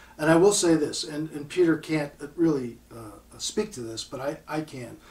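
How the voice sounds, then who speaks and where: An ordinary speaking voice with ordinary pitch variation, moving at a moderate pace while the loudness swings widely. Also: man, fairly high pitch for a man. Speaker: audio equipment manufacturer. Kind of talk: casual interview chat.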